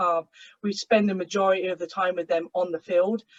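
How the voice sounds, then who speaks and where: In an English accent, a woman talks at a fairly quick pace, recorded with a dry, close sound and no echo. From England. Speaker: college soccer coach. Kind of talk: panel webinar introduction. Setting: video call.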